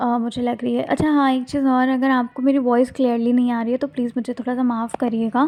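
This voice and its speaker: Barely pausing, a woman speaks with a high pitch and a dark, mellow tone in a monotone, flat intonation. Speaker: tarot card reader. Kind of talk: tarot reading addressed to viewers. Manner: soft-spoken, speaking slowly; casual, conversational.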